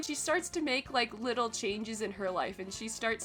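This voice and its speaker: Music plays in the background. A woman speaks at a fairly high pitch with ordinary pitch variation. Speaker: webtoon reviewer. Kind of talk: casual talk to camera. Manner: casual, rambling.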